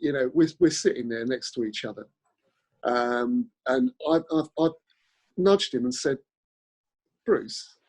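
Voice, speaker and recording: A man with a London accent speaks at a fairly slow pace and medium pitch, with long, frequent pauses. The sound is dry and close, with no echo. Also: ordinary pitch variation. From South London, England. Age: 60s. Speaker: actor. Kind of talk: casual chat. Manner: halting.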